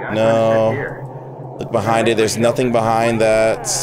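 Very slow pace over noticeable background noise. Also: man, dry sound with no echo. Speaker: gamer streamer. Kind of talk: gameplay commentary. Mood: startled, joking, annoyed. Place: home room. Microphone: headset.

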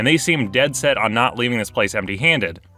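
A man talking at a very fast pace over background music, the sound dry with no echo. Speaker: game master narrator. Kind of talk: storytime commentary. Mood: amused, wry.

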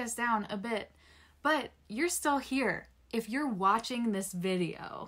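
A woman at a very slow pace, with lively intonation, against a quiet background. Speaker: vlogger on brain injury. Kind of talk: casual encouraging vlog talk. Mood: warm, encouraging. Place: home room. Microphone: phone near.

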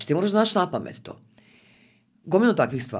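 A woman talks at a very fast pace, her pitch swinging very widely. The background is quiet. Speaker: podcast guest, communication trainer. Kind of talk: interview answer. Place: studio. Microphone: studio mic.

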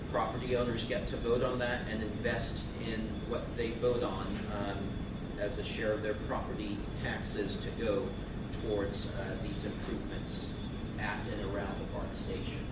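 Loud background noise fills the recording. The speaker goes at a moderate pace with long, frequent pauses. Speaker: transit agency representative. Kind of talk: presentation with Q&A. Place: meeting room. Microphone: camera far.

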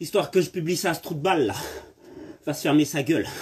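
A man speaks at a moderate pace. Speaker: fitness coach. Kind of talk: casual workout live chat and exercise cues. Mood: angry, defiant at critics. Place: garden. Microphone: phone near.

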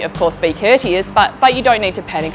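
Clear music sounds in the background. A woman talks at a fairly quick pace. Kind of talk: interview answer. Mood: calm, reassuring. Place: street.

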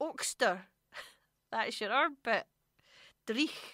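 Very slow speech with a Scottish accent and a bright, sharp tone, dry with no echo over a quiet background. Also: woman. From Scotland. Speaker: radio host. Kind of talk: radio show presenting. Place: studio.

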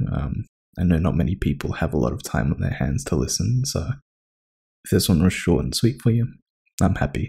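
Using a dark, mellow tone with vocal fry, the speaker moves at a fairly quick pace with very wide pitch swings and long, frequent pauses. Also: man, very deep, low pitch for a man. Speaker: ASMR roleplay voice actor.

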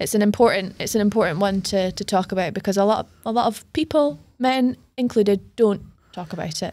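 A woman speaks at a fairly quick pace in a Scottish accent, her tone dark and mellow and her pitch variation ordinary. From Scotland. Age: 30s. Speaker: podcast host. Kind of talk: casual interview. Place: studio. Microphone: studio mic.

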